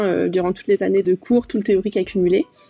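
A woman's medium-pitched voice with a dark, mellow tone, flat monotone intonation and a very fast pace. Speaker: work-study student. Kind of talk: interview.

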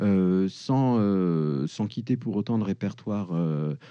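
Very slow in pace, the voice has a dark, mellow tone and very wide pitch swings. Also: man. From France. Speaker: musician and composer. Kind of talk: interview. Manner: halting, many repetitions.

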